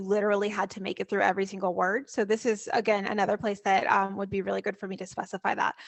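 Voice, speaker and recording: A woman is speaking. Her pitch is fairly high. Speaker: composer. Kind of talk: casual chat. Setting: video call. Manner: fast.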